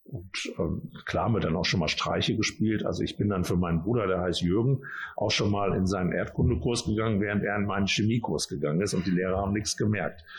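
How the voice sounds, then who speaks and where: Talking at a very fast pace with hardly any pauses, a man uses a fairly low, somewhat breathy voice with ordinary pitch variation and very even loudness. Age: 50s. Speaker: mayor. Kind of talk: interview with children. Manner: casual, with fillers.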